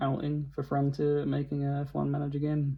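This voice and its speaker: A man is speaking. His voice is at a medium pitch. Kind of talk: casual talk to camera. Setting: recorded on a phone.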